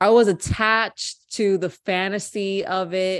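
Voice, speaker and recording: A woman's voice, medium in pitch. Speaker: podcast guest. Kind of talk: casual chat.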